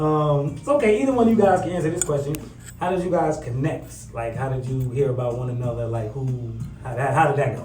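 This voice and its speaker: A man with an American accent and a fairly high pitch speaks at a fairly quick pace with ordinary pitch variation, amid audible room echo and noticeable background noise. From New Jersey. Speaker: radio host. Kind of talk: casual interview chat. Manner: animated.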